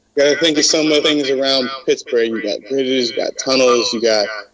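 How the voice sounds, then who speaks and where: A man's fairly high voice, an unremarkable speaking voice with ordinary pitch variation. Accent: American. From US Midwest, Cleveland Ohio. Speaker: pro wrestler. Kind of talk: interview.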